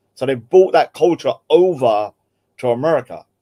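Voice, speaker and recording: A man with a London accent speaks at a fairly high pitch, his tone dark and mellow, in a dry, close recording with no echo. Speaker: podcast host. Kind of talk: casual chat.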